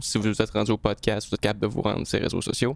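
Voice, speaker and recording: In a Quebec accent, a man with a medium pitch and some vocal fry talks at a fairly quick pace with fairly even intonation. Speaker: podcast host and tattoo artist. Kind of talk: casual interview chat.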